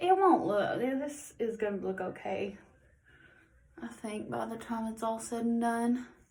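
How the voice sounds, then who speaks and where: Speaking at a fairly slow pace, a woman with a fairly high pitch and lively intonation is heard with audible room echo and noticeable background noise. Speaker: makeup tutorial vlogger. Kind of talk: tutorial. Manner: casual, filler-heavy.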